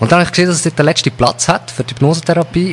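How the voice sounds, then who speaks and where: A Swiss accent over noticeable background noise. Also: man. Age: 30s. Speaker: hypnotherapist. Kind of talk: interview.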